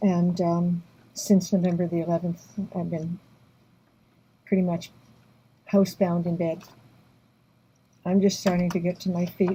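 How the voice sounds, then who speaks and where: A woman speaks in a somewhat breathy, dark, mellow tone at a fairly low pitch. Her intonation is monotone and flat, with long, frequent pauses. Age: 70s. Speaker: activist. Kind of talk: personal testimony vlog. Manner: halting. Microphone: poor audio.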